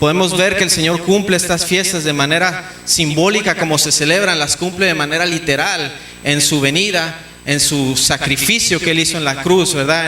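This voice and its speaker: A high-pitched man at a moderate pace with fairly even intonation, audible room echo and noticeable background noise. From Mexico. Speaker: pastor. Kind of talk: sermon. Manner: halting, repeats words.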